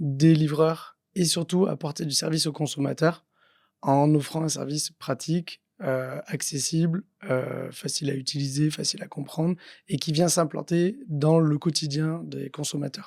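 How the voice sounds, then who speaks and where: At a fairly slow pace, a man speaks with a fairly high pitch and fairly even intonation. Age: 30s. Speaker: entrepreneur, company founder. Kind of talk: podcast interview. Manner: hesitant, many fillers.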